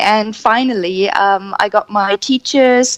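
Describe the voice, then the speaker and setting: Her voice at a medium pitch, a woman speaks with a German accent in a dry, close sound with no echo. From Germany. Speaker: energy coach. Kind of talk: radio interview.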